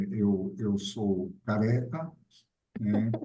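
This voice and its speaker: A man's fairly low voice with a dark, mellow tone. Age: 60s. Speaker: researcher in worker mental health. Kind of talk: self-introduction on a panel.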